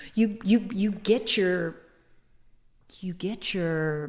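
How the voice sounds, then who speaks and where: A very slow woman's voice at medium pitch, with vocal fry. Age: 60s. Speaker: sex educator and activist. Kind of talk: casual interview conversation. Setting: museum.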